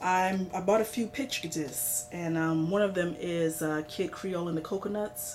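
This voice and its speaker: A woman talks at a moderate pace with lively intonation and a fairly low pitch, noticeable background noise behind her. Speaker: vinyl record collector vlogger. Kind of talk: casual show-and-tell vlog. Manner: hesitant, many fillers.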